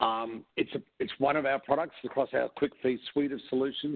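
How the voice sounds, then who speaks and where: A speaker with an Australian accent talks at a moderate pace. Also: man. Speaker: company executive, presenter. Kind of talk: webinar presentation. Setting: webcast. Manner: hesitant fillers.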